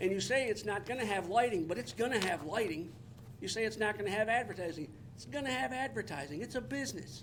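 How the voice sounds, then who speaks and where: A man with an American accent talks at a fairly quick pace in a high pitch with lively intonation. Noticeable background noise and audible room echo come through. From Detroit, Michigan. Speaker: resident speaking at public comment, military veteran. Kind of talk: public comment at township meeting. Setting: township boardroom meeting. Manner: fast.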